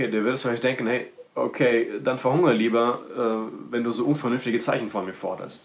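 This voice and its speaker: This man's voice is medium in pitch. He talks fairly quickly. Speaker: preacher. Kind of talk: sermon. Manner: animated; direct, personal address to listeners.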